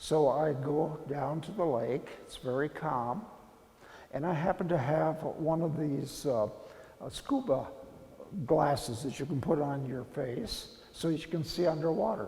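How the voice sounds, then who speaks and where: A man's fairly high voice in an American accent at a fairly slow pace, with ordinary pitch variation and audible room echo. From Kansas. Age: 80s+. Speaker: printmaker artist. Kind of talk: interview monologue.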